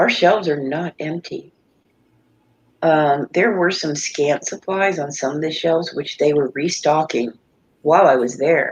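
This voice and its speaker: A woman speaks at a fairly slow pace. Her pitch is very deep and low, with ordinary variation. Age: 60s. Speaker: live stream panelist. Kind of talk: casual chat.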